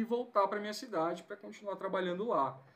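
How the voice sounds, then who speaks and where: A man talks with lively intonation. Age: 30s. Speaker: physiotherapist and lecturer. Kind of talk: casual interview.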